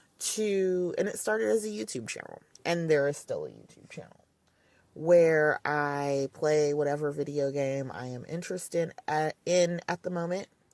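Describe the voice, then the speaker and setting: A woman speaks at a moderate pace with a very deep, low pitch and ordinary pitch variation. Her loudness swings widely. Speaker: podcast host and gaming mom. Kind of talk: casual podcast monologue. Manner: casual, conversational.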